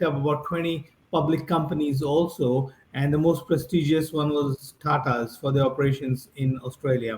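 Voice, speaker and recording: A man speaks at a fairly high pitch, somewhat breathy. His pace is moderate and his intonation fairly even. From India, near Mumbai. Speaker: business founder and investor. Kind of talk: interview.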